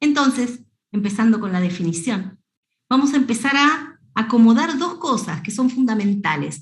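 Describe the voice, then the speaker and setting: A woman's high voice with an Argentine accent, lively intonation and a moderate pace. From Argentina. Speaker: veterinarian. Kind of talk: lecture.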